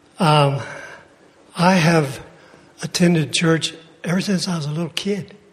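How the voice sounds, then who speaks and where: Amid noticeable background noise, a man with a fairly high pitch speaks with fairly even intonation and long, frequent pauses. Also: fairly slow pace. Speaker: church member. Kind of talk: testimony.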